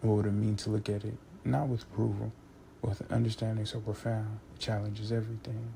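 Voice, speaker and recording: Quiet and somewhat breathy, a man speaks at a very fast pace in a fairly low, dark, mellow voice with monotone, flat intonation. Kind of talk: philosophical monologue, essay-style narration. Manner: monotone, quiet intensity, unperformed.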